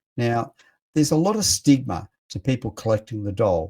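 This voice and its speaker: A man with an Australian accent speaks at a moderate pace and medium pitch, his tone dark, mellow and somewhat breathy, with lively intonation. The recording is very clean, with a silent background and a dry, close sound with no echo. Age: 60s. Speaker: radio host. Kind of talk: radio talk show monologue. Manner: animated.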